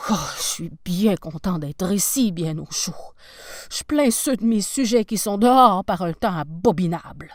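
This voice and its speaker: A woman puts on a growling character voice at a medium pitch. She moves at a moderate pace with lively intonation. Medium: read story. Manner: warm, gentle.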